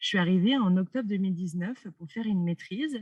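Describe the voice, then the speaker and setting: Fairly quick in pace, the somewhat breathy delivery shows ordinary pitch variation. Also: woman. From France. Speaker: doctoral student. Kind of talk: interview.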